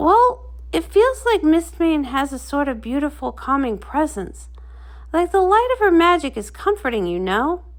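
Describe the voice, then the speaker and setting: A woman performs a put-on character voice at a moderate pace. The recording is very clean, with a silent background. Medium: read story. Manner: hesitant, eager.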